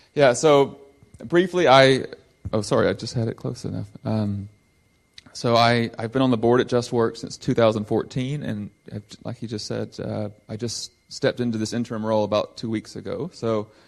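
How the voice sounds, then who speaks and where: With a Southern US accent, a man speaks at a moderate pace in a medium pitch with ordinary pitch variation. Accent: Southern US twang. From US South, Georgia. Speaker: nonprofit director. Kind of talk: church talk. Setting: church service.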